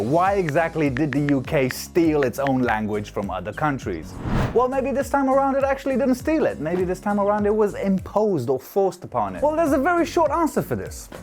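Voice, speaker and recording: A man with a Romanian accent, music playing in the background. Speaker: YouTuber. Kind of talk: casual explainer video. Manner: casual, jokey.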